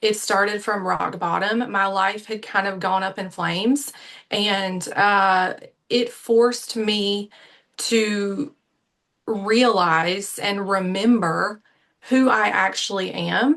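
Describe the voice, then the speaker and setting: With an American accent, a woman speaks at a very slow pace in a medium pitch. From US South, Savannah, Georgia. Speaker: life coach. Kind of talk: interview.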